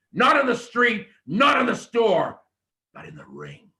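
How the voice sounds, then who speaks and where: A man speaks fairly slowly in a raised, projected voice with an extremely high pitch. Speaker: wrestling promo coach. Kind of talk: coaching feedback.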